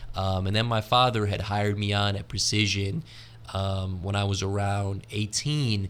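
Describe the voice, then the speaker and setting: Here a man talks with a West Coast American accent, fairly low in pitch and at a moderate pace. The intonation stays fairly even, and the recording is very clean with a silent background. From US, California. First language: Arabic. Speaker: entrepreneur. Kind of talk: podcast interview. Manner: casual.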